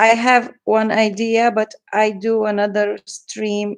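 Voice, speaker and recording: Pitched fairly high, a woman speaks in a flat monotone with a non-native accent. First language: not English. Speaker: journal maker and crafter. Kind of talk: livestream craft flip-through. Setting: livestream from computer. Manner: halting.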